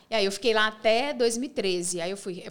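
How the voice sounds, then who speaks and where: A woman speaks at medium pitch with ordinary pitch variation in a plain, everyday voice. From Minas Gerais, Brazil (small interior town). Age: 40s. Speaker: TV presenter and speaker. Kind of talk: casual interview.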